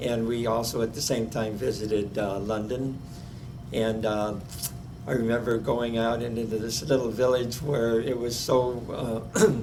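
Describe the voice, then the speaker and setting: A man's medium-pitched, monotone, flat delivery at a fairly slow pace, with audible room echo and noticeable background noise. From Omaha, Nebraska. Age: 90s. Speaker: oral history interviewee. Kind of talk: oral history interview. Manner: halting, many fillers.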